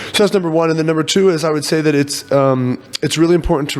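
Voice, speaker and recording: Fairly quick and fairly even in intonation, the speech carries an American accent. Noticeable background noise sits behind it. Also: man. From US, Virginia. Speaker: startup CEO. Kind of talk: podcast interview. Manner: fast.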